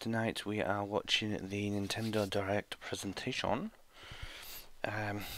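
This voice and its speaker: The speaker is quiet and talks with a British accent at a fairly slow pace. Delivery is flat and monotone, broken by long, frequent pauses. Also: man, fairly low pitch for a man. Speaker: gaming YouTuber. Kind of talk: live reaction commentary. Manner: quiet, keeping voice down; hesitant with fillers.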